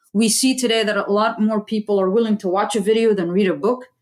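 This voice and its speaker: A woman's fairly quick delivery in an unremarkable speaking voice, fairly high in pitch, with fairly even intonation. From US, Saudi parents. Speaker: aerospace engineer and STEM educator. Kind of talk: interview.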